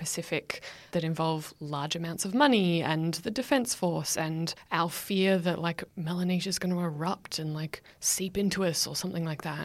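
A woman with a plain, everyday voice speaks at a moderate pace in a fairly low pitch with ordinary pitch variation. The recording is very clean with a silent background. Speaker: PhD candidate. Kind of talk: casual academic discussion.

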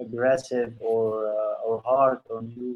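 A man speaks at a very slow pace. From Egypt. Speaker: men's panel member. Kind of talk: casual chat.

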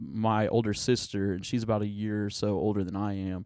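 A man with an American accent speaks at a medium pitch in a plain, everyday voice. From Oklahoma, Tulsa area. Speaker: student pastor. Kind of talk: casual interview chat.

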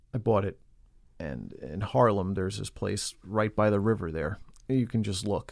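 With an American accent, a man talks at a moderate pace in a fairly low pitch, an ordinary speaking voice. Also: very clean recording, silent background. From New York City (Queens). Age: 30s. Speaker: recovering alcoholic. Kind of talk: testimony.

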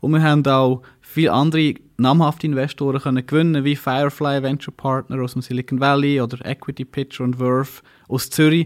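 On a very clean recording with a silent background, a man with an unremarkable speaking voice talks fairly quickly in a fairly high pitch, with ordinary pitch variation. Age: 30s. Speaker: startup founder and CEO. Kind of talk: interview.

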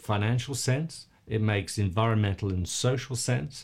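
On a very clean recording with a silent background, a man with an Australian accent speaks at medium pitch in a somewhat breathy voice. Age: 50s. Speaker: environmental campaigner and charity founder. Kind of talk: casual interview.

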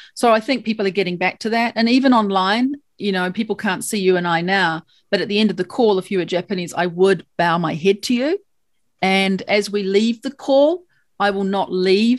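A woman with a New Zealand accent talks at a moderate pace, medium pitch and ordinary pitch variation on a very clean recording with a silent background. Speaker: lawyer. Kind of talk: interview.

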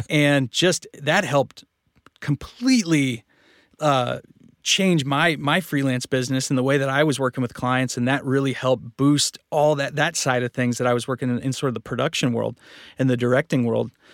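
In a plain, everyday voice, a man speaks at a moderate pace with medium pitch and fairly even intonation, the sound dry and close with no echo on a very clean recording with a silent background. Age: 30s. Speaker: voice actor and podcast producer. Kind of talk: casual interview. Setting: home studio.

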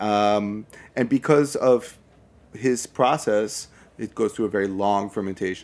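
In a very clean recording with a silent background, a man with an American accent uses a plain, everyday voice, fairly low in pitch with fairly even intonation. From Brooklyn, New York. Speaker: spirits importer. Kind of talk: casual chat.

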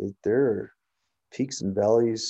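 A man with a Canadian accent speaks at a medium pitch with fairly even intonation. His tone is dark and mellow, over a quiet background. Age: 50s. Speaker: police sergeant. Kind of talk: interview.

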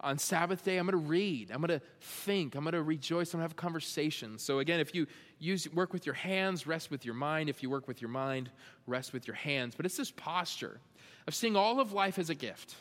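With an unremarkable speaking voice, a man talks fairly quickly at a fairly high pitch with ordinary pitch variation. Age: 30s. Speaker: pastor. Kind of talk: sermon.

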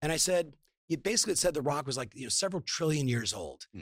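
At a very fast pace, a man talks with a Californian accent. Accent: Californian American. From Southern California. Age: 50s. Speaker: entrepreneur and business coach. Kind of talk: online summit interview.

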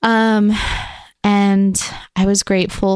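A shaky woman's voice, dry and close with no echo, on a very clean recording over a silent background. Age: young. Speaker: podcast co-host. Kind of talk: casual chat. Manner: shaky voice.

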